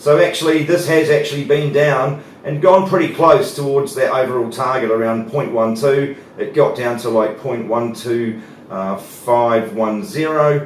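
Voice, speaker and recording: Noticeable background noise and audible room echo surround this recording. A man speaks at a fairly slow pace in a fairly high pitch. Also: ordinary pitch variation. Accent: New Zealand. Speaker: market analyst. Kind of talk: market analysis presentation. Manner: hesitant, many fillers.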